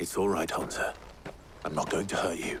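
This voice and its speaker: A man in a put-on character voice at a moderate pace, with clear background noise. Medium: video game.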